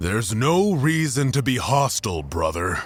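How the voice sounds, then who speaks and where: Over light background noise, a man puts on a character voice at medium pitch, swinging very widely in pitch. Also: moderate pace. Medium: audio drama. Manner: scornful, contemptuous.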